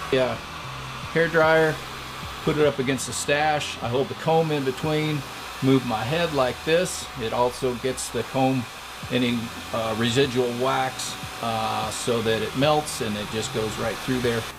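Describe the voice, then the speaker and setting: A man speaks at a fairly slow pace in a medium pitch with ordinary pitch variation. Audible room echo and noticeable background noise fill the recording. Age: 60s. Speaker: mustache competition winner. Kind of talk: tutorial. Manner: casual, hesitant with fillers.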